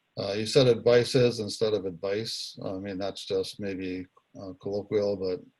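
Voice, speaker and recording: A fairly slow pace with fairly even intonation. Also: man. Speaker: speech evaluator at a speaking club. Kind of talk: speech evaluation feedback. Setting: video call. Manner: monotone; halting, many fillers.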